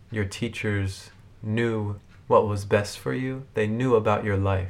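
Someone with an American accent talks at a very slow pace, and the room echo is audible. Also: man. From Albany, New York. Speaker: podcast host. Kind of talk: interview; scripted narration. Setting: temple.

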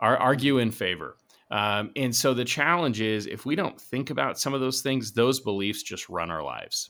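Man with an American accent, medium pitch and a bright, sharp tone, lively intonation at a moderate pace, on a very clean recording with a silent background. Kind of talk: interview. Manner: dry.

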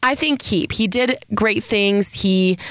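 Her tone is animated. The woman's pitch sits in the medium range for a woman. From San Diego, California. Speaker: podcast host, college student. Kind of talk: casual solo podcast monologue. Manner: animated, scattered.

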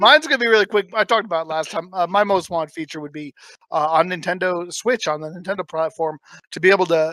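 A man's high-pitched voice with fairly even intonation, dry and close with no echo. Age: 30s. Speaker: podcast host. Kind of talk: casual chat.

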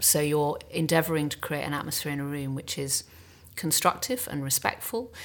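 Delivered at a fairly quick pace, the voice has vocal fry and ordinary pitch variation. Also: woman. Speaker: casting director. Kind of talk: panel discussion.

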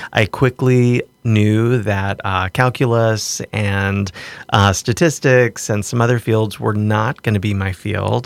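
This man has a fairly low pitch and fairly even intonation. He talks at a very slow pace, with a dry, close sound and no echo. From US South, southwestern Virginia. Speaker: art gallery director and professor. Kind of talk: casual interview. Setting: studio.

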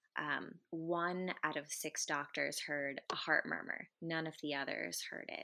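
A woman's very deep, low voice with a bright, sharp tone, at a fairly slow pace. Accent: American. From US. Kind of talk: interview testimony. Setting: remote interview.

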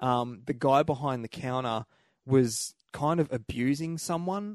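Against a quiet background, a man with an ordinary speaking voice talks at a fairly high pitch with ordinary pitch variation, in a dry, close sound with no echo. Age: 30s. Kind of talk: casual chat. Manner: laughs often, jokey and profane.

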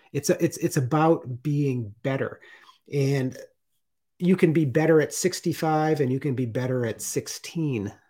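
A man's fairly high, somewhat breathy voice with a dark, mellow tone and ordinary pitch variation, in a very clean recording over a silent background. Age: 50s. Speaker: artist and retired Coast Guard veteran. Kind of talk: interview.

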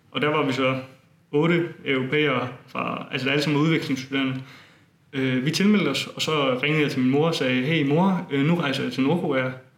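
A man's fairly high voice at a moderate pace, with fairly even intonation, audible room echo and noticeable background noise. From Denmark, Funen (Bogense). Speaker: student and tour organizer. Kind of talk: interview. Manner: hesitant, many fillers.

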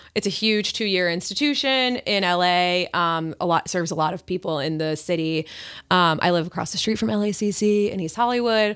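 A woman with an American accent talks at a fairly quick pace with ordinary pitch variation, in an unremarkable speaking voice. The recording is very clean, with a silent background. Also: medium pitch for a woman. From Long Island, New York. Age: 20s. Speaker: comedian. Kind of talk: casual chat.

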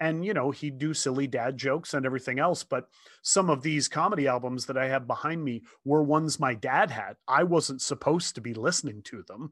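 Against a quiet background, a man with a Canadian accent and a plain, everyday voice talks at a fairly quick pace in a fairly high pitch with ordinary pitch variation. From Ontario, Canada (St. Thomas). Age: 50s. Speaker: motivational speaker. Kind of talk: casual chat.

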